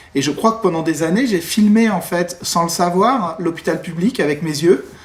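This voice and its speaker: A man speaks at a fairly quick pace and a high pitch, with ordinary pitch variation. Noticeable background noise runs underneath. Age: 30s. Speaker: film director and former doctor. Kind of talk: interview. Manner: halting, many hesitations.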